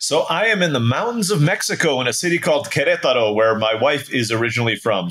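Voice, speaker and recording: Amid noticeable background noise, a man with a fairly high pitch talks at a fairly quick pace with very wide pitch swings. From Turkey (international upbringing). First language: Turkish. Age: 40s. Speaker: entrepreneur. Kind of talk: casual interview.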